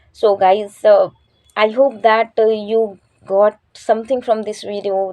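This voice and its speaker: Her intonation stays monotone and flat. The woman's pitch is medium. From India, Chhattisgarh. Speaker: English learning YouTuber. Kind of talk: casual vlog talk to camera. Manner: hesitant, many fillers.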